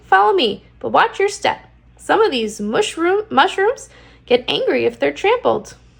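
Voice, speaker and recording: A woman puts on a squeaky character voice with extremely high pitch, speaking at a moderate pace. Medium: read story. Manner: dramatic, chatty.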